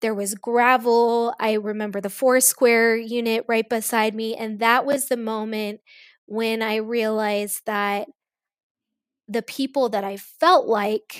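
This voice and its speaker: A woman with an American accent has a plain, everyday voice, fairly high in pitch, with fairly even intonation. The recording is very clean, with a silent background and dry, close sound with no echo. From US Midwest (Kansas), partly East Africa. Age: 40s. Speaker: teacher. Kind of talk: interview.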